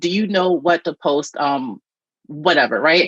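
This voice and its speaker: A woman with an American accent, fairly low in pitch, with lively intonation at a moderate pace, in a dry, close sound with no echo. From Virginia, Norfolk. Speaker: YouTube marketing coach. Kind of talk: interview, casual chat. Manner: lots of filler words, um and right; animated.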